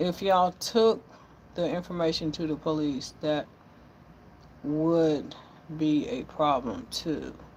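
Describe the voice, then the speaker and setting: A woman with a very deep, low pitch speaks at a very slow pace, leaving long, frequent pauses. Her intonation is lively, and the recording is very clean with a silent background. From US South, Florida panhandle (Milton). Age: 60s. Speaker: cook and social media live streamer. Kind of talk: casual live stream chat. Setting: outdoors at home, live stream. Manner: animated, emphatic.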